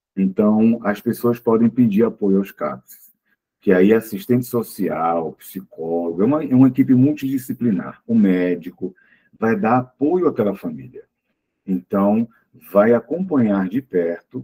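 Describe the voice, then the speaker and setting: Fairly slow speech from a man, the sound dry and close, without echo. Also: fairly low pitch for a man. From Pernambuco, Brazil (born in Olinda). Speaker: psychologist and lecturer. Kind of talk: talk with audience questions. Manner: hesitant, many fillers.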